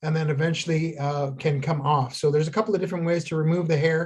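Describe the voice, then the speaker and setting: A man's fairly high voice carries fairly even intonation. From Ontario First Nation, Canada. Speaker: traditional healer, craft teacher. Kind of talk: tutorial. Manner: halting, many fillers.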